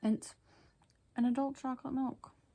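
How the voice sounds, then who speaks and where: A woman talks at a fairly slow pace. Her dark, mellow tone is somewhat breathy. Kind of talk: casual storybook reading with commentary. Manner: casual, chatty.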